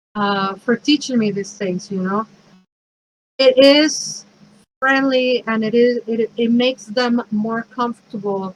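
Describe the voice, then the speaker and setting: Speaking in a Mexican accent, a woman with a fairly high pitch moves at a fairly slow pace with fairly even intonation, in a dry, close sound with no echo. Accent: Mexican Spanish accent, noticeable. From Mexico City, Mexico. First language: Spanish. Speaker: pagan priestess and minister, speaker. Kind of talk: talk. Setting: virtual event.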